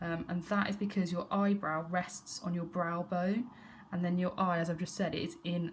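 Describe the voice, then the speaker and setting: A woman with an ordinary speaking voice talks at a moderate pace, her pitch fairly low and her intonation fairly even. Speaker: art teacher. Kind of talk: tutorial.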